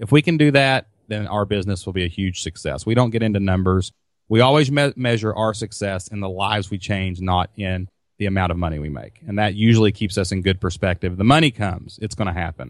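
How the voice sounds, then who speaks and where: A man with a Kentucky accent talks at a very fast pace and a fairly low pitch. The recording is very clean, with a silent background. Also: ordinary pitch variation. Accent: Southern US (Kentucky). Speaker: online business entrepreneur. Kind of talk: interview. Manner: loud; animated.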